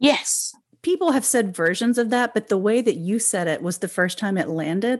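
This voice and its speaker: A woman with an ordinary speaking voice talks at a moderate pace in an American accent. Her pitch is fairly high and her intonation lively. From rural Oklahoma. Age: 40s. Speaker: podcast host. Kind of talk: interview conversation.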